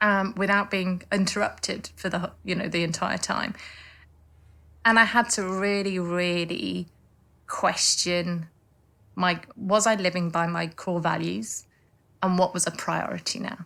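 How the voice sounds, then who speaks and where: A woman's bright, sharp, medium-pitched voice with a slight northern English accent, fairly even intonation and long, frequent pauses. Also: fairly slow pace. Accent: slight northern English twang. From northern England. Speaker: lawyer turned life coach. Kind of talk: interview. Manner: halting, many repeated words.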